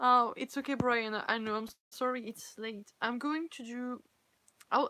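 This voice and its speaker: A woman with a French accent, fairly high in pitch, bright and sharp in tone, ordinary pitch variation, moderate pace, and a dry, close sound with no echo. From France. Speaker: cosplayer and fanfiction reader. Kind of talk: casual live-stream chat. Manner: halting, self-correcting.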